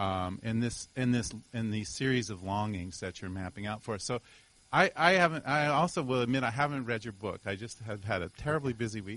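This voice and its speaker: Over a quiet background, a man with lively intonation speaks at medium pitch and a fairly quick pace. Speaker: academic audience member asking a question. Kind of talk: audience question. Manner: loud.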